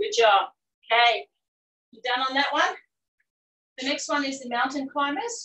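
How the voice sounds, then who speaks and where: A woman speaks in a raised, projected voice at a moderate pace, with long, frequent pauses. Her pitch swings very widely, her loudness swings a lot, and the room echo is audible. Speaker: fitness instructor. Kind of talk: live-cued workout class instruction, counting down intervals. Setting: video call. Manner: brisk, encouraging coaching cues between exercises; upbeat, cheering. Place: garden.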